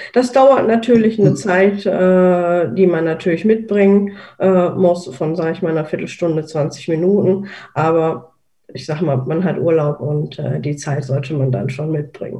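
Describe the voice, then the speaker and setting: Speaking at a moderate pace, a woman has a fairly low, dark, mellow voice that is somewhat breathy. Her intonation is lively. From Rhineland, Germany. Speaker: accessible travel blogger. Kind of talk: casual group talk. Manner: halting, many fillers.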